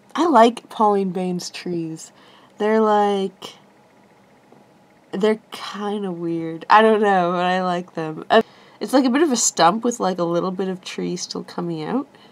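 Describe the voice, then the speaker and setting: This woman's speech is fairly slow, and her pitch shifts an ordinary amount. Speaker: crafter demonstrating clay relief. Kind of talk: tutorial. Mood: relaxed, laughs lightly.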